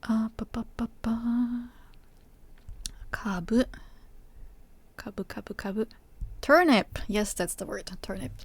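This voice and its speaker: The speaker, who has a non-native accent, moves at a very slow pace with long, frequent pauses. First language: not English. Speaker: Japanese teacher and Vtuber streamer. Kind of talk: live stream cooking tutorial. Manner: halting, many fillers.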